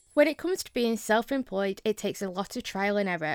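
A woman with a Lancashire accent speaks at a fairly quick pace, her pitch fairly high and its variation ordinary. The recording is very clean with a silent background, and the sound is dry and close with no echo. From Lancashire, northern England. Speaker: podcast host. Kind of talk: scripted narration.

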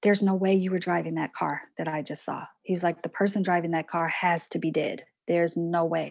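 The recording is very clean and the background silent. It carries a normal speaking voice delivered at a fairly quick pace with fairly even intonation. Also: woman. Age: 40s. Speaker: poet, book artist and online course teacher. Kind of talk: casual interview conversation.

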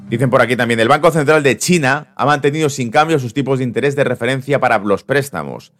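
Hardly any pauses break this man's speech. He talks very fast. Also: medium pitch for a man, ordinary pitch variation. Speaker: market commentary host. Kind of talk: live market update stream. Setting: live stream. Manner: casual, conversational.

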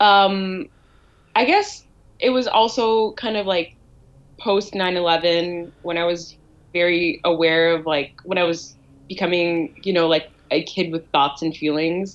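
This woman has a normal speaking voice, fairly low in pitch, with a Canadian accent. She goes at a fairly slow pace with ordinary pitch variation. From Canada, Ottawa. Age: 20s. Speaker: writer. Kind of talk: casual chat.

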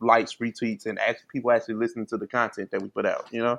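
Over a quiet background, a man with an American accent speaks at a medium pitch. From St. Louis, Missouri. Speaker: podcast co-host. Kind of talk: casual chat.

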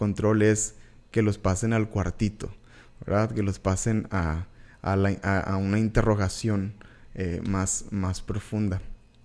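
A man's fairly low, dark, mellow voice at a very slow pace, on a very clean recording with a silent background. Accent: northern Mexican. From Mexico, Tamaulipas border (Reynosa). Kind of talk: devotional teaching monologue. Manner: hesitant, many fillers and repetitions.

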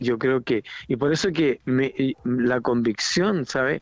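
Speaking very slowly, a man uses lively intonation in a fairly high voice. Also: dry, close sound with no echo, quiet background. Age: 50s. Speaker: pastor. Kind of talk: interview.

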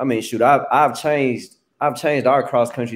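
In a very clean recording with a silent background, a man with an American accent uses an ordinary speaking voice, fairly even intonation, and a fairly quick pace. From Tennessee, US. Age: young. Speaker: college track coach and podcast host. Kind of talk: casual chat.

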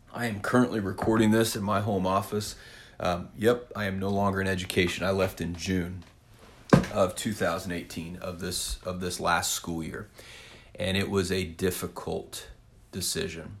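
A man speaks with a Midwestern American accent at a moderate pace, his fairly low voice keeping a fairly even intonation. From Kansas (south central, small town). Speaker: podcast host, former teacher turned real estate agent. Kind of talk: solo podcast monologue. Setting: home office. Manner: casual with frequent fillers (um, kinda).

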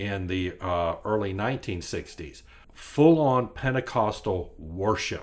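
With ordinary pitch variation and a fairly low pitch, a man talks in an unremarkable speaking voice. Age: 50s. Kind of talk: casual chat.

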